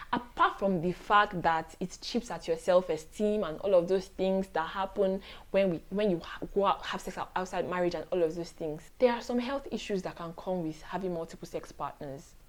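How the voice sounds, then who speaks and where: At a moderate pace, a woman speaks at a medium pitch with ordinary pitch variation in a normal speaking voice. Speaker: lawyer, poet, writer. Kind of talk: faith-based advice talk to camera. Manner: warm, earnest.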